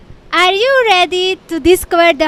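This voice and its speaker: Recorded dry and close with no echo, a woman with a non-native accent speaks at a moderate pace in an extremely high pitch. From Hungary. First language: Hungarian. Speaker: travel vlogger. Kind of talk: casual to-camera vlog talk. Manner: halting, with false starts.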